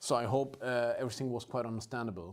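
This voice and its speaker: A man talks in a German accent. His pace is very fast. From northern Germany. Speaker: rum producer. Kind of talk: live tasting. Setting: home studio. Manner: animated.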